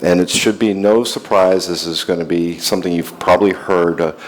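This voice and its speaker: Over noticeable background noise, a man speaks with an American accent at a moderate pace. His pitch is very deep and low, with ordinary pitch variation. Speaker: industry analyst and company CEO. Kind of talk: conference keynote talk. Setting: stage with audience.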